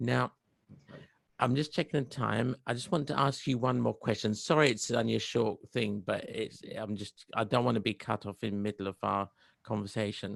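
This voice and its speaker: With vocal fry at a medium pitch, a man speaks at a moderate pace with ordinary pitch variation, in a dry, close sound with no echo and a very clean recording with a silent background. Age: middle-aged. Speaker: interviewer. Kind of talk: interview.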